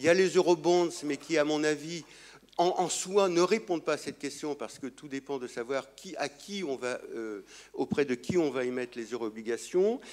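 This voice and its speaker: Here a man with a fairly high voice speaks at a moderate pace. His intonation is lively. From France. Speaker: economist, conference speaker. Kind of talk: conference talk. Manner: halting.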